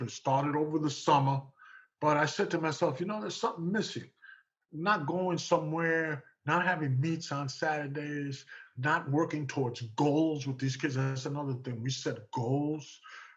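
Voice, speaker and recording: With a New York accent, a man speaks at a moderate pace in a fairly high pitch with ordinary pitch variation. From New York City (Manhattan, East Harlem). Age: 70s. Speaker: track and field coach. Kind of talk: radio interview.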